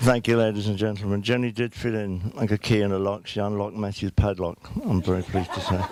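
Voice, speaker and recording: A man speaks very fast in a fairly low, monotone, flat voice. There is noticeable background noise. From southeast London. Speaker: father of the groom. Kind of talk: wedding speech. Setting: wedding reception hall with audience. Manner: halting with repetitions.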